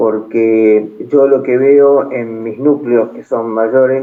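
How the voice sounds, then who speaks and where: Here is a man at medium pitch, talking at a very slow pace. His intonation is monotone and flat. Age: 70s. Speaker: listener participant. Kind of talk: casual discussion. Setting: online audio room.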